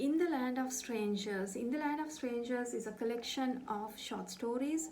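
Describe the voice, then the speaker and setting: Speaking at a fairly slow pace with a Sri Lankan accent, a woman uses a fairly high pitch and ordinary pitch variation amid audible room echo. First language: Sinhala. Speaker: author. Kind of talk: book presentation.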